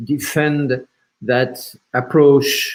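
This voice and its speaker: The speaker, with a French accent, goes at a very slow pace and uses fairly even intonation. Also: man. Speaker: film platform representative. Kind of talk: panel discussion. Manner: halting.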